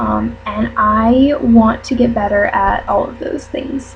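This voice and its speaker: A woman's speech comes through noticeable background noise. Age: 20s. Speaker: YouTuber and college student. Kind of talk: casual vlog monologue. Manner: hesitant, many fillers.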